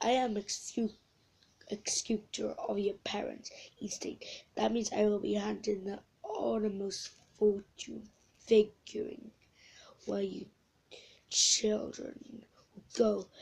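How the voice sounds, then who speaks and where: A raspy put-on character voice from a woman at a medium pitch, with a fairly slow pace, long, frequent pauses and big swings in loudness. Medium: read story. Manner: formal, stiff.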